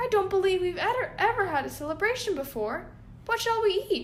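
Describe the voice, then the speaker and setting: A woman uses a put-on character voice at an extremely high pitch and a fairly quick pace. Clear background noise can be heard. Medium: read story.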